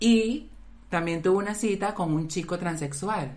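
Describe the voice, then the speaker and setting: A woman talks at a fairly slow pace with lively intonation. Audible room echo surrounds her voice. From Venezuela. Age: 30s. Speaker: podcast co-host. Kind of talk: casual chat.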